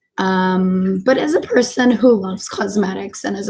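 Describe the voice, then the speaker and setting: Her tone is dark and mellow, somewhat breathy, at a medium pitch. The woman speaks at a fairly slow pace with fairly even intonation. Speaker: beauty vlogger, makeup artist student. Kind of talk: casual vlog storytime.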